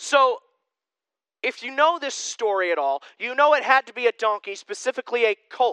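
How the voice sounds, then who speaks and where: A man with an extremely high pitch projects his raised voice at a moderate pace, his tone bright and sharp, in a dry, close recording with no echo. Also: ordinary pitch variation. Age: 20s. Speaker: pastor. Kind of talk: sermon. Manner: casual conversational.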